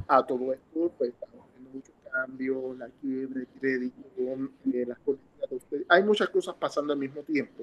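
Dry and close with no echo, a man's plain, everyday voice sits at medium pitch with ordinary pitch variation, a moderate pace and big swings in loudness. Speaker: economist. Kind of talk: interview. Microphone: audio problems, phone recording.

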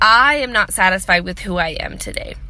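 A woman is speaking. Her pace is fairly slow. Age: 20s. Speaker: vlogger sharing personal mental health story. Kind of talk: personal monologue. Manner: nervous laughter; hesitant, many fillers.

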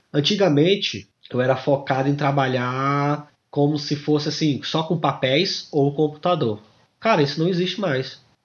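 A man has a normal speaking voice with a fairly high pitch and ordinary pitch variation. He speaks at a fairly slow pace with very even loudness. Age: 30s. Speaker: lab administrative assistant. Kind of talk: casual interview.

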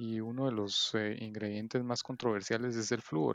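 This man talks fairly slowly in a mid-range pitch. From Guatemala City. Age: 30s. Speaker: entrepreneur, digital marketer. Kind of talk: interview. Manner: hesitant, many fillers and repetitions.

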